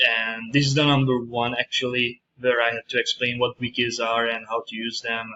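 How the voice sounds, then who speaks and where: This man talks with a strong Hungarian accent at a medium pitch and a moderate pace. His intonation stays monotone and flat, and he hardly pauses at all. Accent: heavy Hungarian. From Hungary. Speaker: university student. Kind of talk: screencast presentation. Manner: halting, many fillers.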